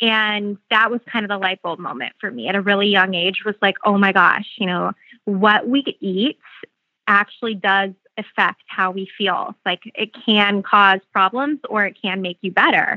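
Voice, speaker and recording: An American accent marks this woman's unremarkable speaking voice, which has a medium pitch, ordinary pitch variation and a moderate pace. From Phoenix, Arizona. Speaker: beauty brand founder. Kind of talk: interview.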